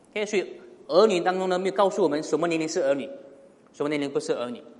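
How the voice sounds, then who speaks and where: A man's high-pitched voice with audible room echo. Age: 30s. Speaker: pastor. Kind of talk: sermon. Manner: frequent fillers and hesitations.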